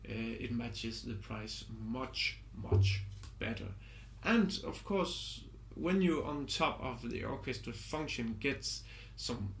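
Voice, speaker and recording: Audible room echo on a man's fairly slow delivery. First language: not English. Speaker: music composer and product reviewer. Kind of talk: product review. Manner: halting, with many fillers.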